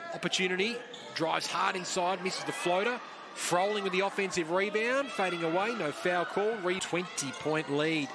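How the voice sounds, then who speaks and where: An animated, upbeat man's voice, high in pitch, at a moderate pace, with ordinary pitch variation, very even loudness and noticeable background noise. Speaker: basketball commentator. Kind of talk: live sports commentary.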